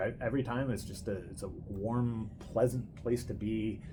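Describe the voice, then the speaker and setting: Somewhat breathy, a man talks at a moderate pace and a medium pitch. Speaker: host and grandson interviewer. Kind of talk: casual interview talk.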